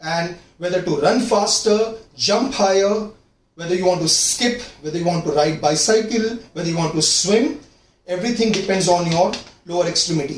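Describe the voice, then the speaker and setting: Audible room echo surrounds a man with a high pitch who speaks at a moderate pace with ordinary pitch variation. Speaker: fitness coach. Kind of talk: tutorial.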